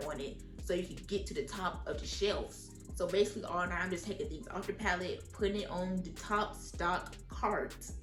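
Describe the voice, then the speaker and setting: Someone with an American accent speaks at a fairly quick clip, hardly pausing at all. Music plays in the background. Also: woman. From Atlanta, Georgia. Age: 20s. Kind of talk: casual storytime talk to camera.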